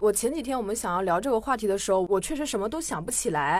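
This is a woman with a normal speaking voice. Her pitch is fairly high and her intonation lively. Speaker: podcast guest host. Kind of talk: casual chat.

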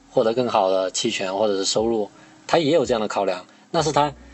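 A man talks at a fairly quick pace while music plays in the background. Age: 30s. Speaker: podcast host and internet industry worker. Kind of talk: casual chat.

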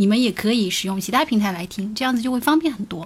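A woman speaks at a fairly high pitch and sounds somewhat breathy. The recording is very clean, with a silent background. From Jiangsu, China. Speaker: podcast co-host. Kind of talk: live-stream casual chat.

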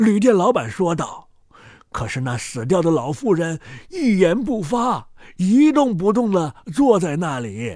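Speaking at a fairly slow pace, a man uses a high pitch with big pitch swings. His tone is slightly mellow. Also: very clean recording, silent background.

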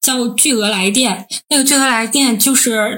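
A woman with an ordinary speaking voice, fairly high in pitch, with ordinary pitch variation at a moderate pace. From Northeast China. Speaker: podcast co-host, PhD student. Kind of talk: casual chat.

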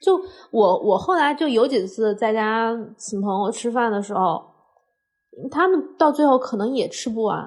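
A woman's fairly high voice at a fairly slow pace, with long, frequent pauses against a quiet background. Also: lively intonation. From Hunan, China. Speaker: podcast co-host, cook. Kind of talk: casual chat.

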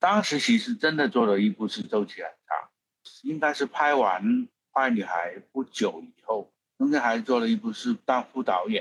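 A man with a slight Hong Kong accent speaks at a moderate pace in a fairly high voice with very wide pitch swings, recorded dry and close with no echo. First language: Cantonese (speaking Chinese). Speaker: film producer. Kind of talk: interview. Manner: halting.

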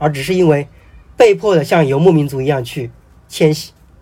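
Fairly quick male speech, dark and mellow in tone, with lively intonation. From Hubei, China. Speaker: novelist. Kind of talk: casual interview conversation.

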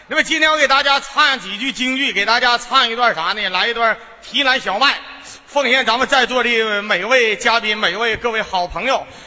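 A man at an extremely high pitch, with ordinary pitch variation and a moderate pace, over noticeable background noise. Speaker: folk opera performer. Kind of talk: stage comedy banter. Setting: stage with audience. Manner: animated.

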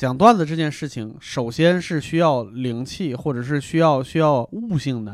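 In an ordinary speaking voice, a man with a fairly high pitch talks at a moderate pace with lively intonation and hardly any pauses, on a very clean recording with a silent background. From Hebei. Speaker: comedian. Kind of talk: casual chat.

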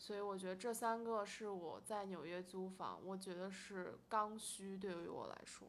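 Fairly even intonation and a moderate pace from a woman with a normal speaking voice, medium-pitched. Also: hardly any pauses. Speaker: rental agent and student. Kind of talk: casual chat.

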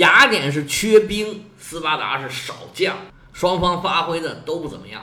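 An animated, high-pitched man at a moderate pace, lively in intonation, with noticeable background noise and audible room echo. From China. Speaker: history podcaster. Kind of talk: storytelling.

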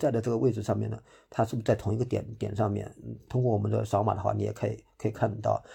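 Here a man talks at a very fast pace. The background is quiet. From Hangzhou, Zhejiang. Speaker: trail runner. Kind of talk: interview. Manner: hesitant, many fillers.

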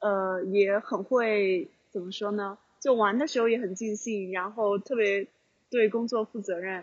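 A woman with a plain, everyday voice speaks at a fairly slow pace, medium in pitch and with fairly even intonation. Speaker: podcast co-host. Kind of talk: casual chat. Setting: outside mahjong parlor on phone. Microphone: phone and earphones.

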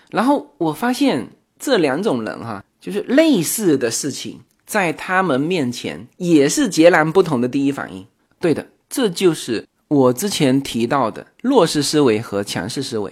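A fairly high male voice, fairly slow, with very wide pitch swings and big swings in loudness, in a very clean recording with a silent background. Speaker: podcast host. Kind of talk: casual solo podcast talk. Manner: frequent filler hesitations.

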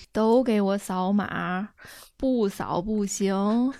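In a put-on character voice, a woman drawls at a very slow pace with a medium pitch on a very clean recording with a silent background. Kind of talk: relaxed, colloquial. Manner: lazy, drawling.

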